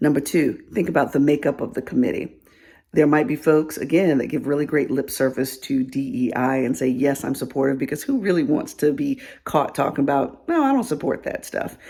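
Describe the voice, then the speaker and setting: A soft-spoken woman with a very deep, low pitch and a dark, mellow tone, ordinary pitch variation and a fairly quick pace, on a very clean recording with a silent background. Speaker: DEI consultant. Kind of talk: casual advice vlog.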